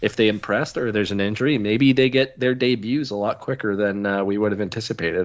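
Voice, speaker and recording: A man with a Canadian accent and an unremarkable speaking voice, medium pitch, ordinary pitch variation and a quiet background. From Canada. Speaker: sports podcast co-host. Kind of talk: casual chat.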